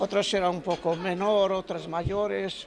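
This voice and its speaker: A man speaks at a very slow pace in a high pitch, his intonation fairly even. Crowd noise fills the background. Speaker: war veteran and musician. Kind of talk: interview. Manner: halting.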